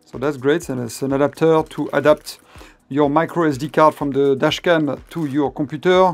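The speech moves at a moderate pace. Faint music plays in the background. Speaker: product reviewer. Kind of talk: unboxing commentary. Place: home room.

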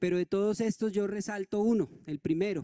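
Over a quiet background, a man speaks at a fairly slow pace in a dark, mellow tone. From Colombia. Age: 40s. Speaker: NGO director; speaker. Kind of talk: conference presentation. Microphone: handheld.

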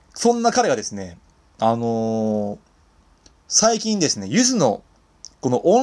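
Recorded very cleanly against a silent background, a man talks at a moderate pace with very wide pitch swings. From Kawaguchi, Saitama, Japan. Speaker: singer-songwriter; radio DJ. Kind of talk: casual internet radio talk.

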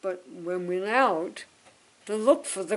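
The speaker is a woman. Her voice is fairly low. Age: 80s+. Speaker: interviewee. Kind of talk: interview. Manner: halting. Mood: warm reminiscing. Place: home room.

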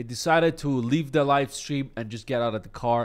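A man at a moderate pace with ordinary pitch variation. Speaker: online commentator. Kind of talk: commentary. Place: home room. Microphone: studio mic.

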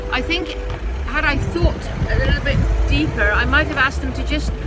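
Female speech against loud background noise. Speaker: interviewee. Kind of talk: casual vlog chat. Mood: cheerful, amused. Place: street. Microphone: phone near.

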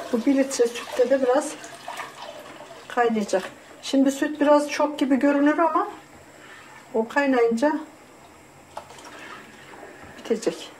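Speaking at a fairly slow pace with long, frequent pauses, a woman uses a high pitch and very even loudness over light background noise. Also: ordinary pitch variation. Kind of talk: tutorial. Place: kitchen. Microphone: camera far.

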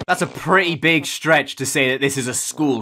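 Light background noise behind a speaking man. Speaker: streamer. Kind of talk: casual reaction commentary. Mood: sarcastic, joking. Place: home room.

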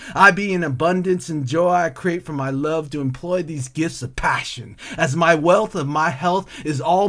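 With clear background noise in the recording, a man's pitch shifts by a typical amount as he talks. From California. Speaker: poet and artist. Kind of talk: spoken word poetry, rhythmic and rhyming, reflective and tender. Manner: flowing and lyrical, emotive, cadenced delivery.

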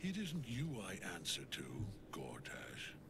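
Against loud background noise, a man puts on a character voice at medium pitch and a fairly slow pace. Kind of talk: military. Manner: commanding, authoritative.

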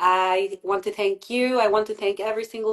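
A woman at a fairly slow pace, monotone and flat in intonation, against a quiet background. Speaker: spiritual coach and interviewer; spiritual coach, interviewer. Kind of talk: casual interview. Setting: video call. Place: home room. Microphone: video call.

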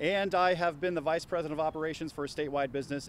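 A man talks at a very fast pace, with a dry, echo-free sound and light background noise. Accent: American. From Ohio. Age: 40s. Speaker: political candidate. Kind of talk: candidate interview. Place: garden.

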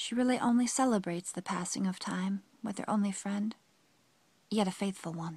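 Somewhat breathy and dramatic in tone, a woman speaks at a moderate pace with medium pitch. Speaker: poem reader. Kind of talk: poetry reading, solemn and reflective spoken-word performance. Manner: dramatic, melancholic, with emotive pauses.

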